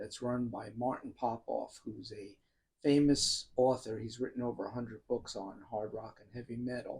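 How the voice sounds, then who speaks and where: The speaker is a man with a strong New York accent. He talks at a moderate pace with big swings in loudness. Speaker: YouTuber talking about music. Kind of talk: personal monologue. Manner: casual.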